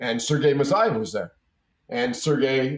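A plain, everyday voice from a man, at a moderate pace with ordinary pitch variation. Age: 50s. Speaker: businessman. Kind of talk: interview.

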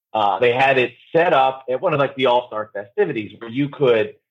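A man's voice, an unremarkable speaking voice, medium-pitched and moderately paced. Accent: American. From New Jersey. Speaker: radio producer and podcaster. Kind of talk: casual interview.

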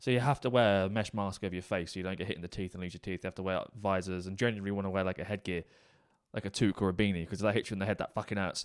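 In a very clean recording with a silent background, a man speaks very fast in a fairly low pitch with fairly even intonation. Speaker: true crime podcast co-host. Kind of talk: casual chat. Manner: fast talker.

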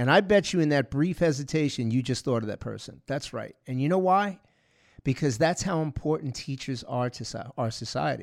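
Delivered at a moderate pace, a normal speaking voice comes through on a very clean recording with a silent background. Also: man, fairly high pitch for a man, lively intonation. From New York (Long Island, Bronx). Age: 50s. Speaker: security expert and podcast host. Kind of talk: casual interview.

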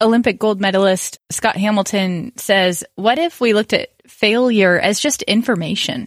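A woman with an ordinary speaking voice, fairly high in pitch, with ordinary pitch variation, a moderate pace, hardly any pauses and very even loudness, in a dry, close sound with no echo. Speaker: interviewer, friend of host. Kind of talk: casual interview.

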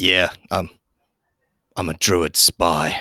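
A man uses a put-on character voice, raspy and very deep in pitch. The sound is dry and close with no echo. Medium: actual play. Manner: stammering, flustered.

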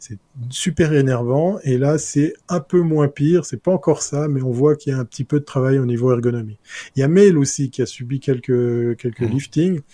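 On a very clean recording with a silent background and a dry, close sound with no echo, a man with a fairly high pitch speaks at a moderate pace in a dark, mellow, somewhat breathy tone with ordinary pitch variation. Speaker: tech columnist. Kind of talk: casual panel discussion.

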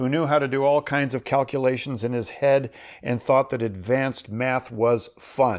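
A man with an American accent speaks at a moderate pace in an enthusiastic tone, his medium pitch showing ordinary variation. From Minnesota, US Midwest. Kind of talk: solo podcast talk, storytelling and Bible teaching. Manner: conversational, enthusiastic.

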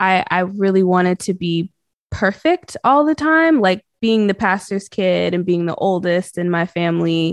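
Recorded dry and close with no echo and a quiet background, a woman of medium pitch talks at a fairly slow pace with ordinary pitch variation. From North Carolina, US South (born in Boston). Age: 20s. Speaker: singer-songwriter. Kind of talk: casual interview. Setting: video call.

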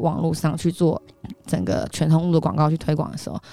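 Over noticeable background noise, a woman speaks at a fairly quick pace with a fairly low pitch. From Taiwan, Taipei. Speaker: entrepreneur and image coach. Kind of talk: interview.

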